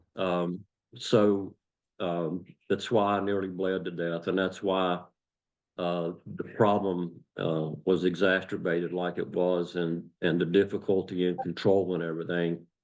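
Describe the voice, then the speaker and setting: Flat and monotone, a man speaks at a fairly slow pace in a very deep, low pitch with an Appalachian accent. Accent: Appalachian American. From West Virginia, USA. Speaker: retired police officer and former coal miner. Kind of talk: interview answer.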